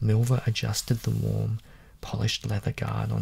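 A man speaks softly with an Australian accent. There is light background noise. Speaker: ASMR reader. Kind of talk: reading aloud. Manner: soft-spoken.

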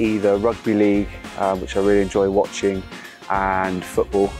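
A man's very deep, low, monotone voice, flat in intonation and dry with no echo, over clear background music. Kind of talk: interview answer. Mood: relaxed, friendly. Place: stadium. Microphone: lapel.

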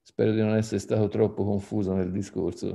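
A man with an unremarkable speaking voice and a fairly low pitch. His intonation stays fairly even against a quiet background. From Tuscany, Italy (Poggibonsi); Tuscany. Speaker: arts association president; panelist. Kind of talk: panel talk. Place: home room. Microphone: video call.

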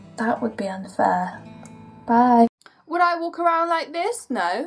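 This woman's high voice swings very widely in pitch. She speaks fairly slowly over faint background music. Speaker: vlogger. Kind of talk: casual talk to camera. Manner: quiet, soft-spoken. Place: garage. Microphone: webcam.

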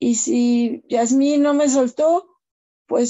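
Fairly even intonation marks the woman's speech. Behind her, things stay quiet. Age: 50s. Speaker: beauty business owner. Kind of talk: testimony. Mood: grateful, emotional. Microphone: video call.

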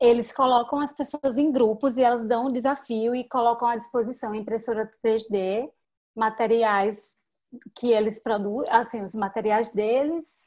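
At a fairly slow pace, a woman speaks in a fairly high pitch against a quiet background. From Petrolina, Pernambuco, Brazil (São Francisco Valley); Pernambuco, Brazil. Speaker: digital marketing specialist; interviewee. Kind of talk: interview; interview answer. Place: home room. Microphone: video call.

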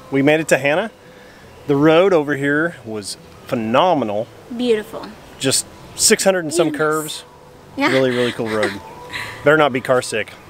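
In a dry sound with no echo and light background noise, a man talks at a moderate pace with long, frequent pauses. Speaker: family travel vlogger. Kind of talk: casual vlog chat. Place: open country. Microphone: phone near.

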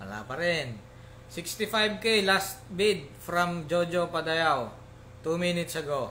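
Over light background noise, a man with a high voice talks at a very slow pace with ordinary pitch variation. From Philippines. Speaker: pigeon auctioneer. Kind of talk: live online auction. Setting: live stream. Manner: formal, polite. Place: home room.

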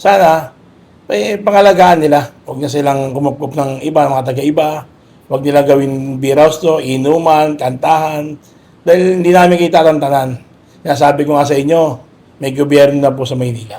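This man has a fairly high pitch and a dark, mellow tone. He speaks at a fairly quick pace with fairly even intonation. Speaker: police officer. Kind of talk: on-site interview. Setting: outdoors. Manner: formal.

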